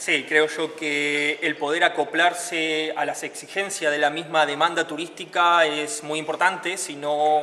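Over light background noise, a man talks at a fairly slow pace in a monotone, flat intonation. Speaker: tourism worker or guide. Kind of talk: interview answer. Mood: calm, earnest. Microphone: handheld.

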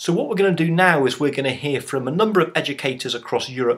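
A man's bright, sharp tone with ordinary pitch variation. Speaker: online course presenter. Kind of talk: tutorial. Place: home room. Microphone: webcam.

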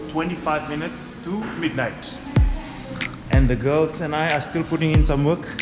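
Over loud background music, a man talks at a fairly slow pace. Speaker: family vlogger. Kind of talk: casual vlog chat. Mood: relaxed, grateful. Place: gym. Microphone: phone near.

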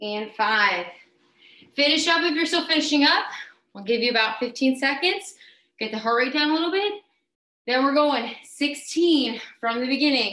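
A woman speaks at a moderate pace in a high, bright and sharp voice, raised and projected, with an upbeat tone, lively intonation, long, frequent pauses and audible room echo. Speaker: fitness instructor. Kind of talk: live workout class leading. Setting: live video stream. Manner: brisk, upbeat, encouraging cueing with countdowns. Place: home room. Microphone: webcam.

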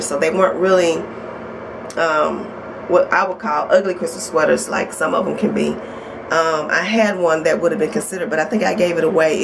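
Over noticeable background noise, a woman talks at a fairly quick pace in a fairly low voice with ordinary pitch variation. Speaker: vlogger. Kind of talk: casual vlog chat. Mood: warm, upbeat. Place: home room. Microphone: phone near.

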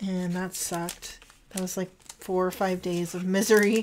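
A woman at medium pitch, fairly slow and monotone with flat intonation, over light background noise. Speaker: journaling content creator. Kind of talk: casual chat while crafting. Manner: casual, chatty. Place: home room.

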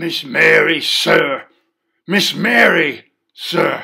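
Using a put-on character voice, a man speaks at a very slow pace. His voice is raspy and high in pitch. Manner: urgent, alarmed.

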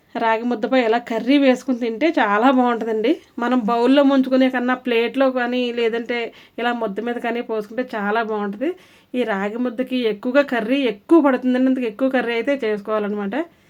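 In a very clean recording with a silent background, a woman speaks at a high pitch with fairly even intonation. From Andhra Pradesh. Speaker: cooking vlogger. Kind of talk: cooking tutorial. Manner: casual, chatty.

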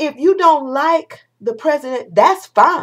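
A woman speaks at a moderate pace. The background is quiet. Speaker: vlogger. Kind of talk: opinion vlog rant. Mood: indignant, passionate. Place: home room. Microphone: webcam.

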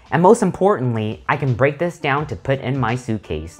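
Music plays faintly behind. A man speaks at a moderate pace. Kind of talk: casual vlog chat. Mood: pleased, wrapping up. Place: home room. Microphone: lapel.

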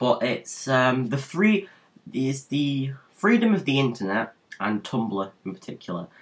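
The speech moves at a fairly slow pace while the pitch swings very widely. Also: man, medium pitch for a man. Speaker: vlogger. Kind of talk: casual vlog monologue.

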